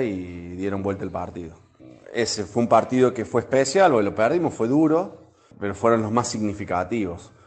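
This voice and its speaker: This man has a plain, everyday voice at medium pitch. He speaks at a moderate pace. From Argentina, Córdoba. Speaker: former Olympic volleyball player. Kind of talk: interview testimony.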